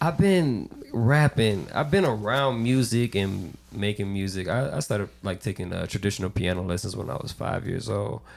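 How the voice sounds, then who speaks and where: This man has a normal speaking voice pitched fairly low, with lively intonation. He talks at a moderate pace with hardly any pauses. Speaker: podcast guest. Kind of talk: casual chat.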